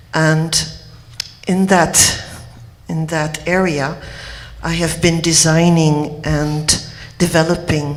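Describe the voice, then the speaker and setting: Amid noticeable background noise and audible room echo, a woman with a Quebec accent speaks at a very slow pace in a very deep, low pitch with monotone, flat intonation. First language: French. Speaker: homeopath. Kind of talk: conference speech.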